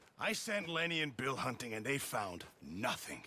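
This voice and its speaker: A man's raspy, put-on character voice at a medium pitch and moderate pace, with very wide pitch swings. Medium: video game.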